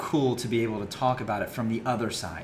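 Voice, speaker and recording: A man of medium pitch talks at a fairly quick pace. The recording has audible room echo and noticeable background noise. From small town US. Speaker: podcast co-host. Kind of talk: casual chat. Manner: fast.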